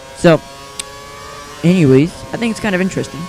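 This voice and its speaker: Ordinary pitch variation from a man amid noticeable background noise. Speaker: gaming youtuber. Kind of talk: gameplay commentary. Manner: fast; casual, rambling.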